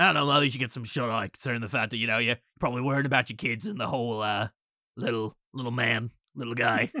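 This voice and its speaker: A man does a raspy put-on character voice at a medium pitch. He talks very fast but leaves long, frequent pauses. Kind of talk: comic improvised voicing. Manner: chatty, upbeat, awkwardly sympathetic.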